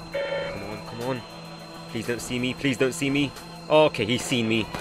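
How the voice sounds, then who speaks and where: With music behind him, a man talks at a moderate speed. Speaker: gaming YouTuber. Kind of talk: casual gameplay commentary. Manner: playful, excitable.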